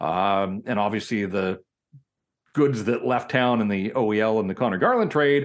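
With a Western Canadian accent, a man talks at a fairly low pitch. His pace is fairly slow. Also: ordinary pitch variation. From Vancouver, Canada. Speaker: hockey journalist. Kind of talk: casual interview.

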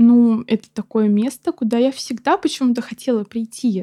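Her voice is fairly high with a dark, mellow tone and ordinary pitch variation, and the woman is recorded with a dry, close sound and no echo. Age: 20s. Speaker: paramedic student. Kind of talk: casual chat.

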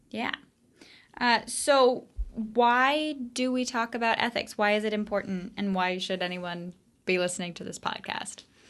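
The pitch moves with ordinary variation, and the pace is fairly slow. It is a plain, everyday voice. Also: woman, fairly high pitch for a woman. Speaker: student podcast host. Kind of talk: interview.

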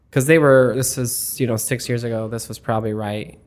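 Speaking at a fairly quick pace with an American accent, a man has an unremarkable speaking voice of medium pitch and fairly even intonation. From Arizona. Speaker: bar manager. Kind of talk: casual interview.

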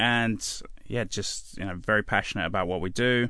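Against a quiet background, a man with an East Anglian accent talks at a moderate pace in a bright, sharp tone. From England (Suffolk). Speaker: chef. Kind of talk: radio interview. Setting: radio studio.

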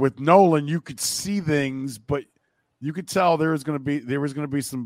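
Speaking fast-ish with an American accent, a man uses a normal speaking voice at a fairly high pitch, dry and close with no echo, in a very clean recording with a silent background. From US Midwest (Akron, Ohio). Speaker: baseball broadcaster. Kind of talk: casual chat.

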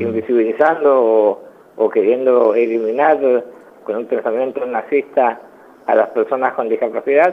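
A man's ordinary speaking voice at a medium pitch and a moderate pace. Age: 40s. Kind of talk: radio interview.

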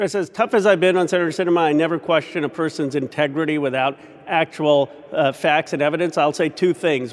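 The speaker has an American accent and fairly even intonation. The pace is fairly quick, with noticeable background noise. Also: man. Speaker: congressman. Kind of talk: news interview.

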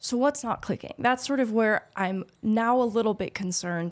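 A woman talks at a fairly quick pace in an ordinary speaking voice, with ordinary pitch variation. The recording is very clean with a silent background. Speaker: hockey podcast co-host. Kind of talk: casual chat. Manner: articulate, analytical.

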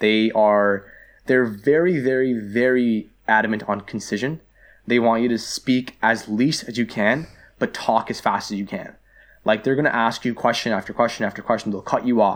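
A man with a Toronto accent talks at a moderate pace with fairly even intonation on a very clean recording with a silent background. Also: medium pitch for a man. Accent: Canadian (Toronto). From Canada, Greater Toronto Area. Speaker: university student. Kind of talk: casual interview. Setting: studio.

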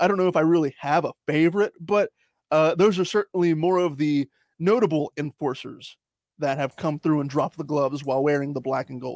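A man speaks at a fairly quick pace in a normal speaking voice, his pitch fairly high with ordinary variation. The sound is dry and close with no echo, and the recording is very clean with a silent background. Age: 20s. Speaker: podcast host. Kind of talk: casual chat.

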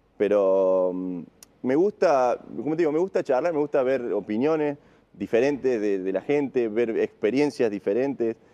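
Fairly slowly and with lively intonation, a man speaks at medium pitch in a dark, mellow tone, the sound dry and close with no echo. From Argentina, Río Tercero, Córdoba. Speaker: wheelchair tennis player. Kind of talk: casual interview.

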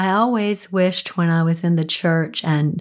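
A woman talks at a slow pace in a raspy voice. Her pitch is low, with fairly even intonation.

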